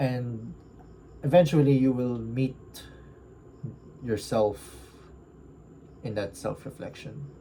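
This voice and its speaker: Speaking at a very slow pace with long, frequent pauses, a man uses a medium-pitched, somewhat breathy voice with a dark, mellow tone. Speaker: book reviewer. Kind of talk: casual reflective monologue. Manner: halting, stuttering.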